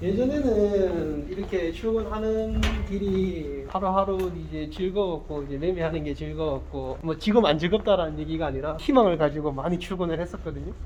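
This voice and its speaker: A man talks at a moderate pace with hardly any pauses. Audible room echo and noticeable background noise surround him. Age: 30s. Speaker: full-time stock trader, former phone shop owner. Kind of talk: casual interview.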